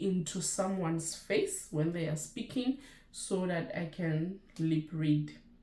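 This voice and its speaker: Audible room echo surrounds a woman with a Lesotho accent who speaks at a very slow pace, somewhat breathy, with ordinary pitch variation. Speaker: nurse and YouTuber. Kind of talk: casual vlog chat.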